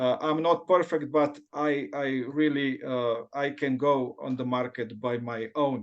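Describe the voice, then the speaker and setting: A man talks at a fairly slow pace with a non-native accent. He hardly pauses at all. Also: fairly high pitch for a man, ordinary pitch variation. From Slovenia. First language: not English. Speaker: forex trading student. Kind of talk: testimony. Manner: halting.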